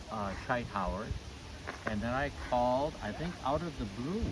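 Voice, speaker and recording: Room echo and background noise are both noticeable. A man speaks at medium pitch with lively intonation. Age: 80s+. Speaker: trail volunteer and interviewer. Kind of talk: casual interview.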